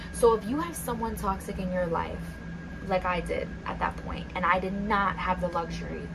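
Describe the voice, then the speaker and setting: A soft-spoken woman at a moderate pace amid noticeable background noise. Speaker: ASMR content creator. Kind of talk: ASMR soft-spoken chit-chat story time.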